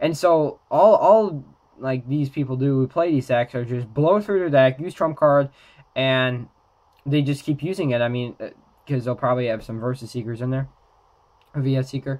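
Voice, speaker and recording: Pausing long and often, a man speaks at a moderate pace with ordinary pitch variation. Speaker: trading card game YouTuber. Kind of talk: casual talk to camera. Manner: hesitant, many filler words. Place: home room.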